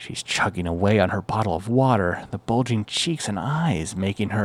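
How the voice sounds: The reader uses a natural reading voice, and the intonation is lively.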